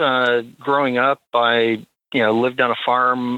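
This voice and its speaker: A man in a Midwestern accent talks at a medium pitch. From Minnesota, US Midwest. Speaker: IT technician and shooting match director. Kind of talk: podcast interview. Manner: halting, many fillers.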